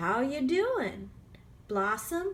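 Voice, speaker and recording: Put-on character voice with very wide pitch swings and clear background noise. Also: woman. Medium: read story. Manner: warm, tender.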